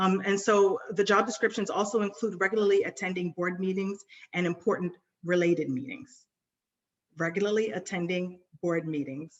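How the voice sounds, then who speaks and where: A woman with an American accent speaks at a moderate pace and medium pitch, with ordinary pitch variation. She has a normal speaking voice. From New York City. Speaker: nonprofit board trainer. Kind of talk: webinar presentation.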